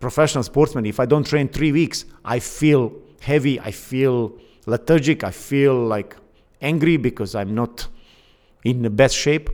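A man speaks at medium pitch with a Bosnian accent. His pace is moderate and his pitch varies in an ordinary way. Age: 50s. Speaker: Olympic canoeist and fitness coach. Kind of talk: casual interview. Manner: halting, many fillers.

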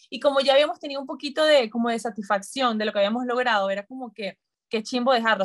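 Her pace is very fast and her pitch fairly high. The woman's pitch variation is ordinary. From Venezuela, Maracay. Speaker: dietitian and former Olympic swimmer. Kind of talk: interview conversation.

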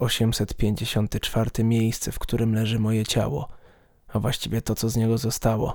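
Speaking at a fairly slow pace, a man uses a medium pitch and a dark, mellow tone. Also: very clean recording, silent background. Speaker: horror story narrator. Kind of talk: ghost story narration, first-person creepy tale read aloud. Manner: halting, suspenseful pauses before the scary reveals.

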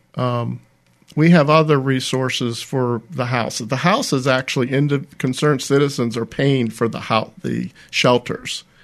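Against a quiet background, a man with an American accent and a plain, everyday voice speaks at a medium pitch and a moderate pace with fairly even intonation. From Pennsylvania, Pittsburgh area. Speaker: homeless advocacy nonprofit director. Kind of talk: radio interview.

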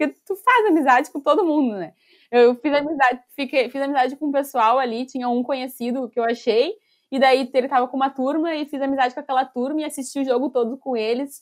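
Talking at a very fast pace, a woman with a high voice uses ordinary pitch variation on a very clean recording with a silent background. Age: 20s. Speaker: football club fan ambassador. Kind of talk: casual interview.

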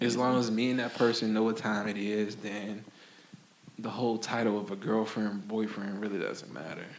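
In a room with audible echo, a man with an American accent speaks at a fairly low pitch and a fairly quick pace, his intonation monotone and flat. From Florida. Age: 20s. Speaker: clothing brand founder. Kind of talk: casual chat.

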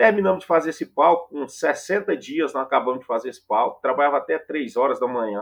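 With hardly any pauses, a man's speech runs at a fairly quick pace. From Goiás, Brazil (interior). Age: 40s. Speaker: music tour producer. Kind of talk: casual interview.

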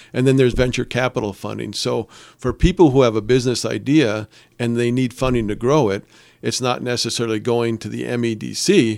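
The speaker talks with an Upper Peninsula Michigan accent at a fairly quick pace. The intonation stays fairly even. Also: man, medium pitch for a man, very clean recording, silent background. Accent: Upper Peninsula Michigan (Yooper). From Upper Peninsula of Michigan, Calumet. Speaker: startup support organization CEO. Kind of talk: radio interview. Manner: hesitant, many repeated words and fillers.

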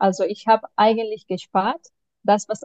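A woman speaks in a fairly high pitch with a dark, mellow tone. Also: dry, close sound with no echo. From Spain, Barcelona. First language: Spanish or Catalan (speaking German). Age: 30s. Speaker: mentoring client, single mother. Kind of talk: interview answers. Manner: halting, many fillers.

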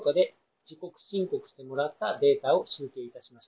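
A man is speaking. His intonation is lively. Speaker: judo therapist, bonesetter clinic owner. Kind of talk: reading a paper aloud.

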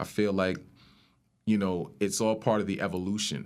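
A man speaks with a very deep, low pitch and a New York accent. The recording is very clean, with a silent background. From New York, Rockland County. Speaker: rapper and music producer. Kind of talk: casual chat.

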